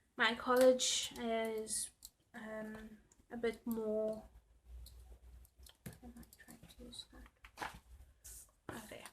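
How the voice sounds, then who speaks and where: In a South African accent, a woman speaks at a very slow pace. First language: Afrikaans. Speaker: planner YouTuber. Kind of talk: casual chat. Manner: loud.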